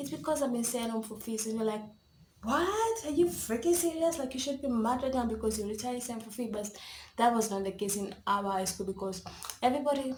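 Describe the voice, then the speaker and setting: Speech at a fairly quick pace with ordinary pitch variation comes through audible room echo and noticeable background noise. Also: woman, fairly high pitch for a woman. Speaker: YouTuber. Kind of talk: story time. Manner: whispering; casual, rambling.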